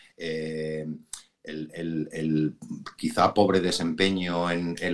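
Very deep and low in pitch, a man talks at a very slow pace in a monotone, flat intonation. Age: middle-aged. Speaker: business executive. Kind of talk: interview.

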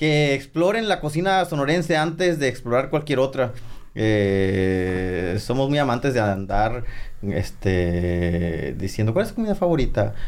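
A man at medium pitch speaks at a fairly slow pace with very even loudness. His pitch swings very widely. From Sonora, Mexico (San Pedro de la Cueva). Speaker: chef and TV cook. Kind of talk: casual chat.

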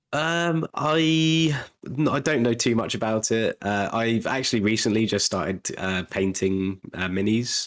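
This man speaks with a British accent. His intonation is lively. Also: medium pitch for a man, fairly slow pace. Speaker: podcast co-host. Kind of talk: casual chat. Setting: video call.

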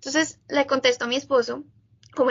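A woman's high-pitched voice at a very fast pace, with fairly even intonation. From Colombia, Bogotá. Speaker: biologist, graduate student. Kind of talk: interview.

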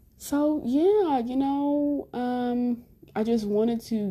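A woman is speaking. Her tone is dark and mellow. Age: 20s. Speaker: podcast host, spiritual content creator. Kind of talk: solo monologue, casual self-introduction. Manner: laughs often.

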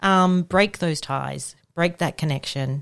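In an Australian accent, a woman talks at a fairly slow pace with ordinary pitch variation, recorded very cleanly against a silent background. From Victoria, Australia. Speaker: children's commissioner and lawyer. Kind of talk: casual chat. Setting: studio.

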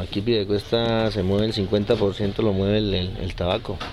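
A man speaks at a fairly slow pace in a fairly low, monotone, flat voice over noticeable background noise. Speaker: cigar factory owner. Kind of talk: interview.

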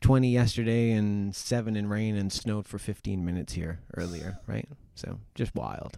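With an ordinary speaking voice, he talks at a moderate pace, his pitch fairly low and its variation ordinary. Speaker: podcast guest. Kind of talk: casual chat.

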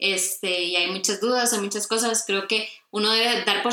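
Over noticeable background noise, a woman with medium pitch talks at a fairly quick pace. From Costa Rica. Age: 20s. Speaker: graphic design student. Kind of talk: casual interview.

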